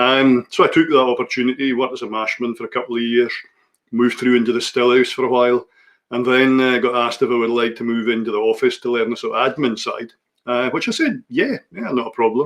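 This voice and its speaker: A man talks very fast in a medium pitch, his intonation flat and monotone. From Scotland, Orkney. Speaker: master distiller. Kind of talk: casual chat.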